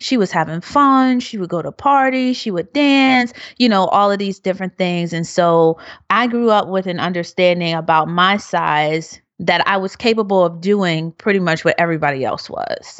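Lively intonation at a moderate pace, in a Philadelphia accent. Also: woman, medium pitch for a woman. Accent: Philadelphia American. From Philadelphia, US. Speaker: researcher and activist. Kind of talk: interview.

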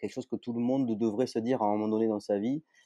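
Medium-pitched male voice with a slight southern French accent, dark, mellow tone, dry, close sound with no echo and a quiet background. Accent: slight sing-song southern French. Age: 40s. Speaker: entrepreneur. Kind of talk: interview. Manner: hesitant, many fillers.

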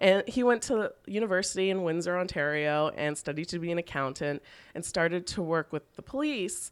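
With a Canadian accent and a normal speaking voice, a woman pitched fairly low talks at a fairly quick pace with lively intonation on a very clean recording with a silent background. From Canada, Toronto. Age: 30s. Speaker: fashion blogger and plus-size store founder. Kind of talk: casual interview chat.

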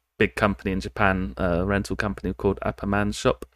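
A man speaks with a British accent. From United Kingdom. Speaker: programmer. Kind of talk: casual chat.

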